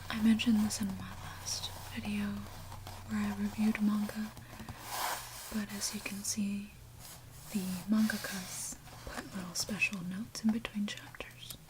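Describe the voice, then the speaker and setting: Whispering and soft-spoken, the voice leaves long, frequent pauses over noticeable background noise. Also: moderate pace. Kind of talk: ASMR manga review. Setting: recorded for ASMR with page-flipping and tapping sounds. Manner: softly spoken, whispered.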